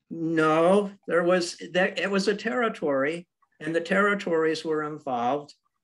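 A man talks at a fairly slow pace in a high pitch. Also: ordinary pitch variation. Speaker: congregation member asking questions. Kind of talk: Q&A question.

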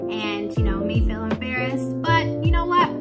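A woman talks at a moderate pace over loud music in the background. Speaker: beginner hobby vlogger. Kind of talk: casual talk to camera. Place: home room. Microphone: phone near.

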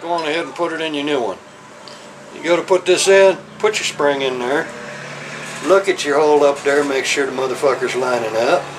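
A man with a Southern US accent speaks at a fairly quick pace. He takes long, frequent pauses amid noticeable background noise. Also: fairly high pitch for a man, ordinary pitch variation. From US South. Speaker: motorcycle mechanic. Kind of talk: tutorial. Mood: gruff, profane, folksy. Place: workshop.

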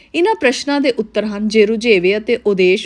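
A woman with a fairly high pitch and ordinary pitch variation speaks in a normal speaking voice. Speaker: narrator reading a book. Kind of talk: reading aloud.

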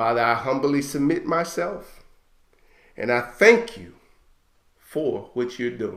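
A man talking at a fairly slow pace. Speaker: Hebrew Israelite ministry leader. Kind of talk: fervent prayer and prophetic declaration; sermon-like teaching and prayer. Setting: online broadcast. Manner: impassioned, urgent, rising and exhortative.

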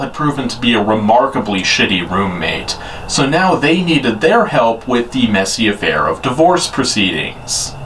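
Light background noise sits under the recording. The man's pace is moderate. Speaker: movie reviewer. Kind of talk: comedic review commentary. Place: home room.

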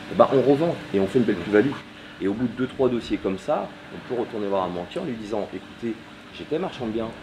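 Noticeable background noise surrounds a man speaking at a very fast pace. His intonation is lively. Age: 30s. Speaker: property dealer; interviewee. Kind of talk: interview. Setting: at home during building work. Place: garden. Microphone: camera far.

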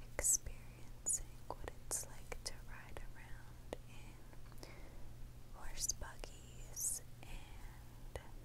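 A woman whispers at a very slow pace. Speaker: ASMR artist. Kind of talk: ASMR hotel receptionist roleplay. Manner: slow, whispered.

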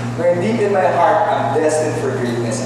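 Strong room echo and noticeable background noise around a man's moderate pace. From Philippines. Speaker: spoken word performer. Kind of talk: spoken word poetry performance. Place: hall.

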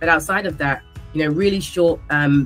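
Faint music plays behind a woman whose very deep, low voice shows ordinary pitch variation. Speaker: interview guest. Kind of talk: interview answer. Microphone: webcam.

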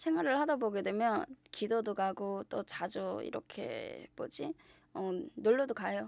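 The sound is dry, with no echo. A woman talks at a fairly slow pace. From North Korea (Yanggang Province); North Korea. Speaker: shaman/fortune teller; guest. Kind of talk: interview. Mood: relaxed, smiling. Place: studio. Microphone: studio mic.

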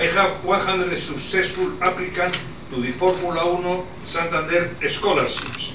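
This man's voice is high in pitch, his pace fairly slow, with noticeable background noise behind him. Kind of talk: formal speech. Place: hall.

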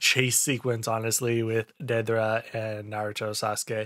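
Over a quiet background, the speaker goes at a very slow pace in a bright, sharp tone. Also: man. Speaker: anime reaction content creator. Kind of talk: casual episode review commentary. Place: home room. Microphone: studio mic.

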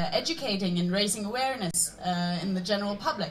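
Amid light background noise, a woman speaks in a Norwegian accent with ordinary pitch variation. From Norway. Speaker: student aid organization leader; panel debater. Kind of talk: panel debate. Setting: stage with audience. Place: stage.

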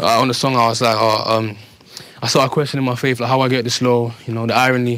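Very fast, flat monotone speech from a man, dry with no echo. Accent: London. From London. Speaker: rapper; interviewee. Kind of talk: documentary interview. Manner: halting. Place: street. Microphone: lapel.

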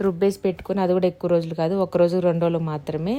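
A woman with a fairly low pitch and a dark, mellow tone. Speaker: vlogger. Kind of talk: voice-over narration.

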